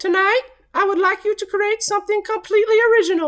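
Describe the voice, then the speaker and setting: Squeaky and extremely high-pitched, this put-on character voice races along at a very fast pace. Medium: read story. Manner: kind, encouraging.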